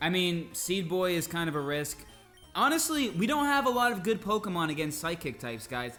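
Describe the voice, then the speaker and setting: Against music in the background and audible room echo, a man's high-pitched voice makes very wide pitch swings. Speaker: English teacher and gamer. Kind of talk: gameplay commentary for learners. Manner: slow.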